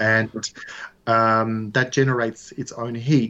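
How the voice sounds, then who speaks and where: Australian accent from a man, quiet background. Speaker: whisky distillery founder. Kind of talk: interview.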